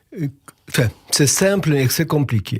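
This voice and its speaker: With a somewhat breathy quality, a man's voice rises and falls in lively intonation. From Poland (Lodz). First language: Yiddish (speaking French). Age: 80s+. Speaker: Yiddish conversation workshop leader. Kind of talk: interview.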